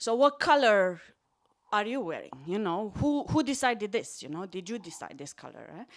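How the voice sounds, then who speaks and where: Speaking with a Romanian accent, a woman with a fairly high pitch uses very wide pitch swings and big swings in loudness at a moderate pace, in a very clean recording with a silent background. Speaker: psychology lecturer. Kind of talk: stand-up. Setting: stage with audience. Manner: animated.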